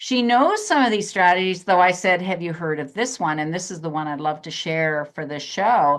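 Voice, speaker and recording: A woman's fairly low voice comes through over a quiet background. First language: German. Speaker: psychotherapist. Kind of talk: interview.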